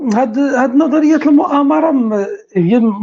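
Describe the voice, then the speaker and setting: Very wide pitch swings in a somewhat breathy voice. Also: woman. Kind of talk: casual chat.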